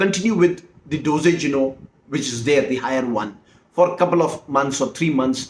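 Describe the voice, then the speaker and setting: An Indian accent at a moderate pace. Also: man. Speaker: herbal medicine practitioner. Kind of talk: explanatory monologue. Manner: halting, many fillers and restarts.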